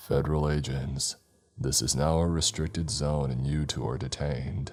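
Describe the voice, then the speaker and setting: Over faint music in the background, a man uses a put-on character voice, gravelly and very deep in pitch, at a moderate pace. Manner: stern, authoritative.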